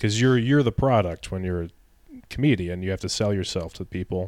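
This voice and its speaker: On a very clean recording with a silent background, a man speaks in a fairly low voice. His pace is fairly quick and his pitch varies in an ordinary way. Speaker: stand-up comedian. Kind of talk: casual chat.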